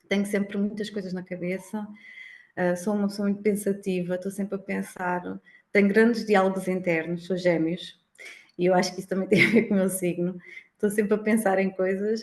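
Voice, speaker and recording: A woman at a fairly quick pace in a monotone, flat intonation. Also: medium pitch for a woman. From Algarve, Portugal. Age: 30s. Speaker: accountant. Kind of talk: casual interview.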